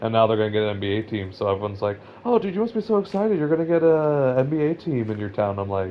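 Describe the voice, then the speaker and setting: This is a man speaking. He has a Californian accent. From Southern California. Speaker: gaming streamer. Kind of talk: casual chat. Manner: halting.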